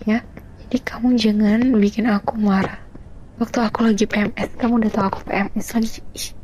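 Flat, monotone intonation from a woman with a fairly high-pitched voice. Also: moderate pace. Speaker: ASMR roleplayer playing a grumpy wife. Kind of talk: heated argument, roleplay. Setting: roleplay with the listener as her partner, meant for earphones. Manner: irritable, sulky, snappy; whiny, petulant, bickering.

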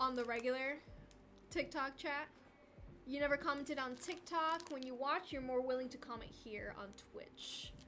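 There is music in the background. A woman speaks at a high pitch. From Argentina. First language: Spanish. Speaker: craft livestreamer. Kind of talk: casual livestream chat with viewers. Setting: livestream. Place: home room.

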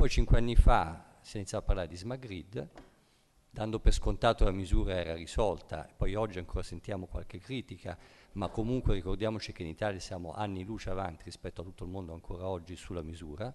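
Very fast speech from a man with a very deep, low pitch and big swings in loudness. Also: ordinary pitch variation. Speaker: ICT industry executive; panelist. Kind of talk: panel discussion. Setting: stage with audience. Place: hall. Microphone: podium.

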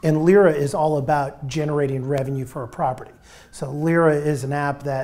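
A man speaks at a fairly quick pace, his voice somewhat breathy and his intonation fairly even. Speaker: real estate tech entrepreneur. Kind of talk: roundtable interview. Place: office. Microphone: lapel.

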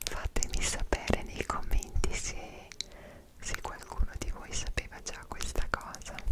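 A woman is whispering. She speaks at a fairly slow pace. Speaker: travel vlogger. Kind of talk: casual vlog chat. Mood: animated, expressive storytelling. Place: home room.

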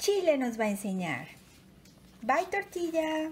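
Sing-song and warm, the animated voice rises and falls in very wide pitch swings. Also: woman. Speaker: bilingual storyteller. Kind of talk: bedtime storytelling, bilingual read-aloud for children. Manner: warm, animated, sing-song children's storyteller; slow, clear, repeating lines in Spanish after English. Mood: warm, gentle, playful. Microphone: phone near.

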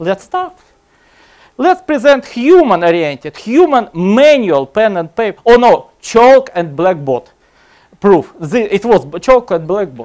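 Someone speaks at a fairly slow pace with a Russian accent. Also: man, quiet background. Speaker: computer science lecturer; lecturer. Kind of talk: conference talk. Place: hall.

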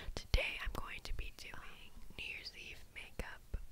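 A woman is whispering. Her words come out in a whisper. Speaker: ASMR creator. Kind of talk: ASMR makeup tutorial. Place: home room.

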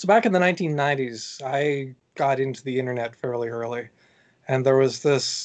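Speaking at a moderate pace, a man with a medium pitch talks over a quiet background. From Canada. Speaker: author; podcast guest. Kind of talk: interview. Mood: relaxed, explanatory. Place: home room.

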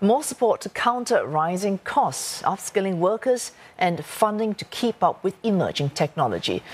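A normal speaking voice from a woman, medium in pitch, lively in intonation, at a moderate pace with hardly any pauses. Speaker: news anchor. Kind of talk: news reading, scripted bulletin. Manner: formal, crisp, measured.

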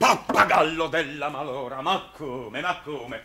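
Putting on a character voice, a man speaks fairly slowly at a fairly high pitch, his bright, sharp tone carrying a slightly husky edge and ordinary pitch variation.

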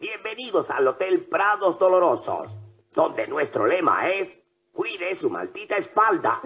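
A man's high, cartoonish character voice. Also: moderate pace. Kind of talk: cartoon dub comic villain. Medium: fan dub. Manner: snide, menacing, gleeful.

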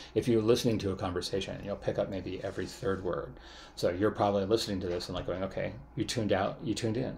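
Speaking very fast, a man uses a fairly low, somewhat breathy voice with fairly even intonation. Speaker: university lecturer. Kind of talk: lecture. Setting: recorded online class video.

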